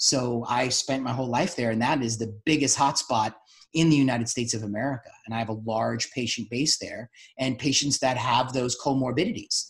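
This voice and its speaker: Fairly quick and somewhat breathy, a man talks with a New York accent. His pitch is medium and his intonation fairly even. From New York City. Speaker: doctor and podcast host. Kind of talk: podcast interview discussion.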